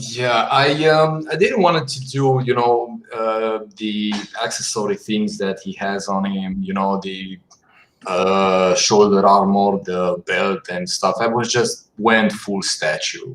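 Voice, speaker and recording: A man with a non-native accent speaks at a very slow pace. His voice sits fairly low. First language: not English. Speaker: concept artist. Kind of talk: casual chat. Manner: halting.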